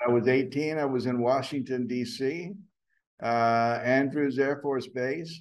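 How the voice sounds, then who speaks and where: A man speaks at a fairly slow pace with an American accent. His medium pitch and fairly even intonation carry audible room echo. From US South (Atlanta, Georgia). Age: 70s. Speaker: actor and acting teacher. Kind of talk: casual interview chat. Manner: halting, many fillers.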